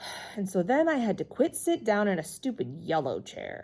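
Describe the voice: Simply plain reading aloud, nothing more.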